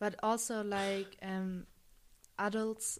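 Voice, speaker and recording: A woman with a German accent at medium pitch, very slow pace, very clean recording and silent background. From Munich, Germany. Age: 20s. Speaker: student. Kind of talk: interview. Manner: hesitant, many fillers.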